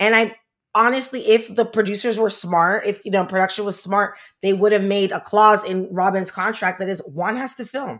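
A woman with an American accent and a plain, everyday voice, medium in pitch, at a moderate pace with fairly even intonation, on a very clean recording with a silent background. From Miami, Florida. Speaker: podcast host. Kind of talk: casual chat. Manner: casual, filler-heavy speech.

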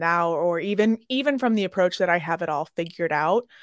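A plain, everyday voice with an American accent moves at a moderate pace with lively intonation. The recording is very clean and dry, close with no echo and a silent background. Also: woman. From Chicago, US Midwest. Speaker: hospitality mental health consultant. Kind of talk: interview.

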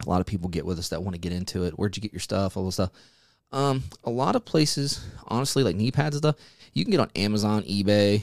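The speaker talks at a very fast pace with lively intonation. The recording is very clean, with a silent background. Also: man, fairly low pitch for a man. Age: 30s. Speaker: podcast host, haunted house actor. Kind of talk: solo casual update. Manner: hesitant, many fillers.

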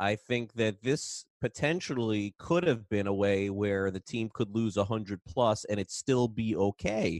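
A man with an unremarkable speaking voice talks at a fairly slow pace, with hardly any pauses and a fairly low pitch with ordinary variation. The sound is dry and close with no echo, and the background is quiet. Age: 40s. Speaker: baseball podcast host. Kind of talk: casual chat.

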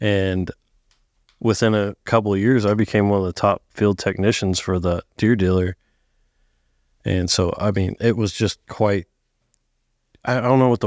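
Recorded very cleanly against a silent background with a dry, close sound and no echo, a man with an American accent speaks at a fairly low pitch and moderate pace, using ordinary pitch variation and long, frequent pauses. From Northern California, outskirts of Sacramento. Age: 30s. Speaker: heavy equipment mechanic. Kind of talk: casual chat.

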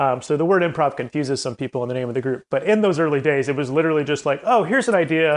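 Here a man talks in a fairly high pitch with an American accent. His pitch varies in an ordinary way. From US South, Columbia, South Carolina. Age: 30s. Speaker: comedy group founder and director. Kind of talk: interview conversation.

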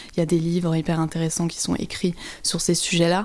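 Talking at a fairly quick pace, a woman has a fairly low pitch. Her tone is dark and mellow. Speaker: journalist. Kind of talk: interview, reflective talk.

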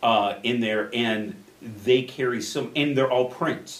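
The man talks with an American accent. His voice carries audible room echo over noticeable background noise. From Chicago suburbs, Illinois (Addison). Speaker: artist. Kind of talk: interview, casual chat.

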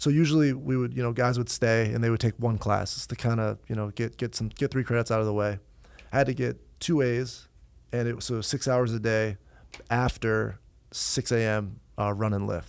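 The recording is very clean, with a silent background. A man with an American accent uses a plain, everyday voice at medium pitch, speaking at a moderate pace with fairly even intonation. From upstate New York. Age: 30s. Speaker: professional lacrosse player. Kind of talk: casual chat. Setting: studio.

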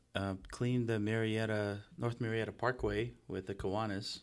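A man with a Russian accent speaks at a fairly slow pace. His pitch is medium and his intonation monotone and flat. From Russia (Moscow), then Los Angeles from about age ten. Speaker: real estate entrepreneur. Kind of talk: casual chat. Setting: studio.

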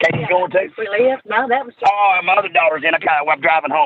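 A man with a Southern US accent talks at a very fast pace with lively intonation. Noticeable background noise is present. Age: 50s. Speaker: professional wrestler. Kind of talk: casual chat. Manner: animated.

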